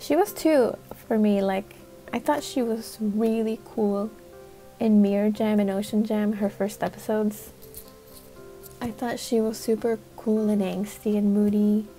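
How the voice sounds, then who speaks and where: A soft-spoken woman, fairly high-pitched, at a fairly slow pace with fairly even intonation and long, frequent pauses, with music in the background. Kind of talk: casual commentary to camera. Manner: soft-spoken, nervous, apologetic.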